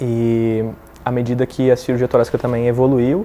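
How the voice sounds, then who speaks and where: A man with a southern Brazilian accent talks at a fairly quick pace in a monotone, flat intonation. Noticeable background noise runs underneath. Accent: gaúcho accent, noticeable. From southern Brazil, Rio Grande do Sul. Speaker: thoracic surgeon. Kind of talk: testimony. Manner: halting, with fillers and repetitions.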